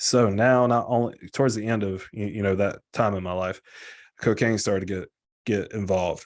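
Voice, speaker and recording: In a normal speaking voice, a man talks at medium pitch with ordinary pitch variation over a quiet background. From US South. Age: 20s. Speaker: guest in recovery sharing story. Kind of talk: testimony. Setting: live video stream. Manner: casual.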